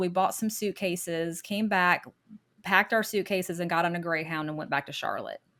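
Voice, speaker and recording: With an American accent and a plain, everyday voice, a woman of medium pitch speaks at a fairly quick pace with ordinary pitch variation on a very clean recording with a silent background. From US South. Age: 50s. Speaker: podcast guest telling her divorce story. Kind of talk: interview testimony.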